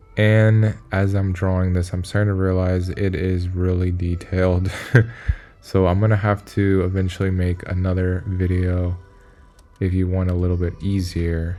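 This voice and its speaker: A man's very deep, low voice at a moderate pace, with monotone, flat intonation and very even loudness. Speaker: art teacher. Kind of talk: drawing tutorial. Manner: casual, with fillers.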